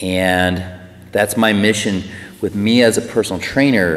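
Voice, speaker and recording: With noticeable background noise, a man talks at a moderate pace in fairly even intonation. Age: 40s. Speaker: personal trainer and life coach. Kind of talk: personal testimony to camera. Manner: hesitant, many fillers.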